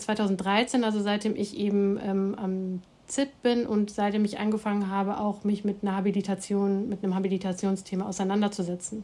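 A woman with a medium pitch talks at a fairly quick pace. She leaves hardly any pauses. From Germany, Hamm (Westphalia). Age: 40s. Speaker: professor of Islamic theology. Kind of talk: interview, expert explanation.

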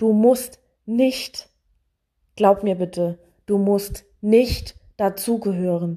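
Very slowly and with long, frequent pauses, a woman speaks at medium pitch with fairly even intonation. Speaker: podcaster. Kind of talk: personal monologue. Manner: hesitant with many fillers.

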